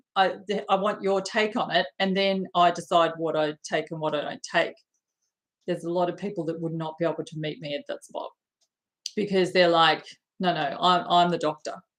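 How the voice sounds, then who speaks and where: A woman with an unremarkable speaking voice talks at a moderate pace, fairly low in pitch, with fairly even intonation. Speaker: spiritual coach and card reader. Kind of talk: live stream chat with viewers. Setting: live video stream.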